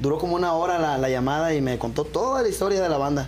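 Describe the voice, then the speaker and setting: A man talking at a very fast pace. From Jalisco, Mexico (Autlán de Navarro area). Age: 20s. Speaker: band singer. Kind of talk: interview.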